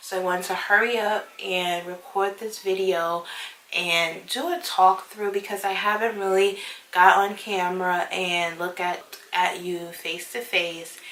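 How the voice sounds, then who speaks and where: Noticeable background noise and audible room echo accompany a woman at medium pitch. She speaks at a fairly slow pace with fairly even intonation. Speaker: beauty YouTuber. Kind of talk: casual talk-through review. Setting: at home.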